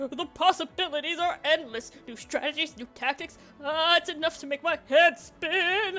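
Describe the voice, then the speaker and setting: Music plays in the background as a woman uses a put-on character voice. She keeps a moderate pace. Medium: game stream. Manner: casual, eager, excitable.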